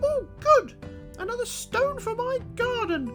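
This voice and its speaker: A put-on character voice speaks at a fairly slow pace. Music plays clearly in the background. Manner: cheerful, gleeful.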